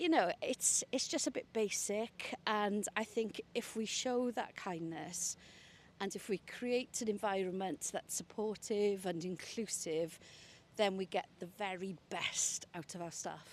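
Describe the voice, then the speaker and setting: A woman speaks at a fairly slow pace with a Welsh Valleys accent. Her pitch is medium, and it varies in an ordinary way. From Wales, South Wales valleys. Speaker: senior broadcasting executive. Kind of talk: interview conversation. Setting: outdoors, walking in a park.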